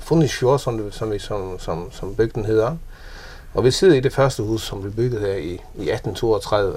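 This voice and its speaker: Delivery is fairly slow and somewhat breathy. Its pitch varies in an ordinary way. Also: man, medium pitch for a man. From Faroe Islands. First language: Faroese (speaking Danish). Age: 50s. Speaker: businessman. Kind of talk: casual interview. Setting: at home in an old house. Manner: halting, many repeated words.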